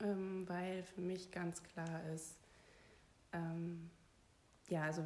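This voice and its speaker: Woman with a dark, mellow tone and fairly even intonation. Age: 30s. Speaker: podcast guest sharing personal story. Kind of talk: personal testimony interview.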